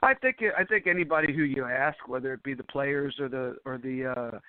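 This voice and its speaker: This man has an ordinary speaking voice. His pitch is fairly high, and he talks at a moderate pace. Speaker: ring announcer. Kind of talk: podcast interview answer.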